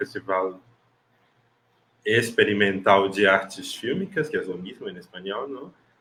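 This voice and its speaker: Pitch varying in an ordinary way, a man speaks rather slowly. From Brazil, Recife. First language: Portuguese (speaking Spanish). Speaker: film festival programmer. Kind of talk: online panel discussion. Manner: halting.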